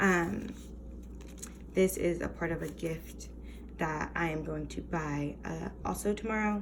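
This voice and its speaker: Speaking at a fairly slow pace with long, frequent pauses, a woman is heard amid noticeable background noise and audible room echo. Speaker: teacher and budgeting vlogger. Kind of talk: casual tutorial vlog. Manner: hesitant, many fillers; whispering.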